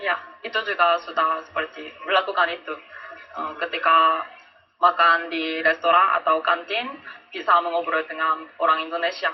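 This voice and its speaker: Over noticeable background noise, a man with a Korean accent speaks in a high pitch at a moderate pace. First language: Korean (speaking Indonesian). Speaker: language student. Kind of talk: interview. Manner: halting.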